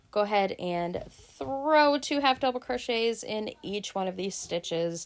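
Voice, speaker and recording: A woman with a plain, everyday voice speaks at a fairly high pitch with lively intonation. The recording is very clean with a silent background. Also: fairly slow pace. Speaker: crochet pattern designer. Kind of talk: tutorial.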